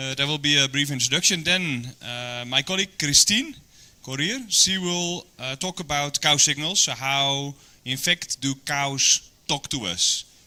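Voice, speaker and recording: At a fairly slow pace, a speaker with a Dutch accent uses a bright, sharp tone and ordinary pitch variation. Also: man, fairly high pitch for a man. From Netherlands. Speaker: animal nutritionist. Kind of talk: training presentation. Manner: hesitant, many fillers.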